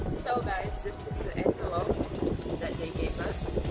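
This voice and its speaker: A woman at a moderate pace, with loud music in the background. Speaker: travel vlogger. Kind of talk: casual vlog chat. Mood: cheerful, amused. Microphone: phone near.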